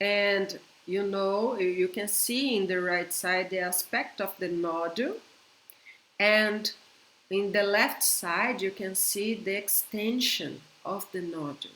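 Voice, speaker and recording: This woman talks at a very slow pace with a Brazilian Portuguese accent, her pitch medium and her intonation fairly even. The room gives an audible echo. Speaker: veterinarian. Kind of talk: conference lecture. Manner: halting.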